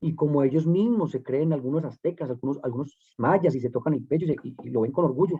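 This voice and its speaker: A man with a fairly high pitch talks very fast, using ordinary pitch variation. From Colombia, Medellín. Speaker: political candidate. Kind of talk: panel discussion.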